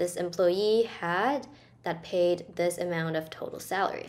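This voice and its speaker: A woman at a fairly slow pace, with ordinary pitch variation. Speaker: presenter. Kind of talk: tutorial.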